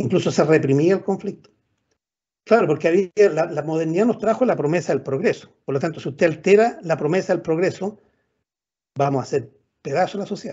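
Against a quiet background, a man talks at a fairly quick pace. His voice is high, with ordinary pitch variation. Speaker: professor. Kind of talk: lecture. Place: home room. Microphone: video call.

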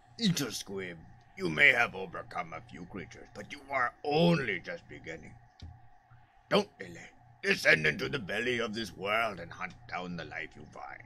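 A man uses a put-on character voice at a medium pitch. He keeps a moderate pace. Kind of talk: solemn mentor speech from the game's text. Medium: solo performance. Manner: grave, intense, commanding.

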